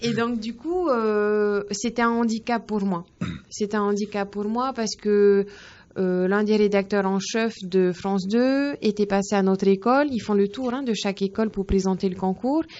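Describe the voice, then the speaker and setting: The woman talks fairly slowly, her pitch medium and her intonation fairly even. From French Polynesia, Faa'a (Tahiti). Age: 20s. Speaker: young journalist. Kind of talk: interview. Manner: hesitant, many fillers.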